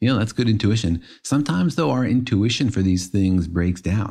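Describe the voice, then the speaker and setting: A man with a dark, mellow tone and fairly low pitch speaks with lively intonation on a very clean recording with a silent background. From Israel. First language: Hebrew. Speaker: physics podcast co-host. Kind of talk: casual science explainer chat.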